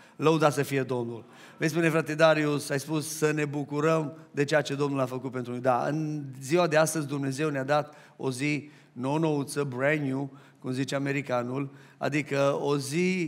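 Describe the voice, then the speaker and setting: A man speaks at a moderate pace in a flat, monotone delivery. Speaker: pastor. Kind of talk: sermon. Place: church. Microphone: headset.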